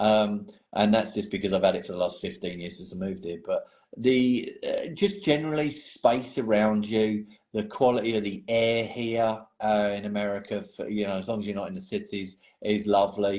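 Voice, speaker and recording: Speaking with an English accent, a man uses a fairly low pitch with ordinary pitch variation. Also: moderate pace. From England. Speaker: painting hobbyist. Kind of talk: casual chat.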